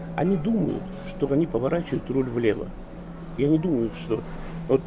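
Pitched fairly high, a man speaks at a moderate pace with very wide pitch swings as noticeable background noise plays behind him. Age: 50s. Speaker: author and management consultant. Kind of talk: interview.

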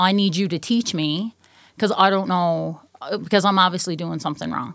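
Recorded very cleanly against a silent background, a woman with a Newfoundland accent speaks at a fairly low pitch with fairly even intonation. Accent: Newfoundland, noticeable. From Newfoundland, Canada. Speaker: mental health and addictions counselor, client.

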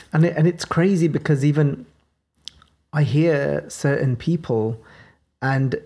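Speaking very slowly with a Birmingham accent, a woman uses a very deep, low pitch, a dark, mellow tone and ordinary pitch variation. The recording is very clean, with a silent background. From Birmingham, England. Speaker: podcast host explaining scripture. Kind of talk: religious teaching discussion.

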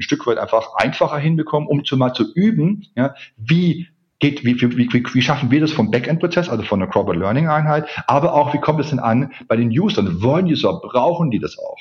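Music plays in the background as a man talks at a moderate pace. His pitch is fairly high, with lively intonation. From Swabia, southern Germany (Ulm). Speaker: corporate learning expert. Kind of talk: interview.

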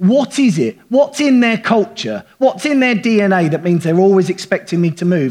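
With a southern English accent, a man talks using lively intonation. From England. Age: 40s. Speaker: pastor. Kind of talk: sermon. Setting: church.

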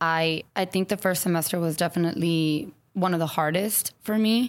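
In a very clean recording with a silent background, a woman with an American accent has a plain, everyday voice, medium pitch, ordinary pitch variation and a moderate pace. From San Antonio, Texas. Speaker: elementary school teacher. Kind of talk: interview conversation.

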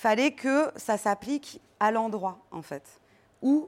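A woman's voice with lively intonation. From Paris, France. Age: 30s. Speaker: nonprofit director. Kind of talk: live talk to an audience.

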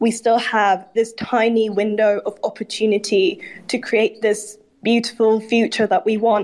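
A woman with an unremarkable speaking voice talks at a fairly slow pace, her loudness very even and her intonation fairly even. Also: fairly high pitch for a woman. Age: 20s. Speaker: student climate activist. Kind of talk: casual chat.

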